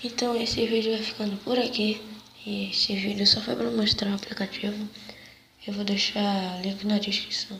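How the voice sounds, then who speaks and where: With noticeable background noise, a man talks at a moderate pace in a high pitch and a flat monotone. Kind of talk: casual talk to camera.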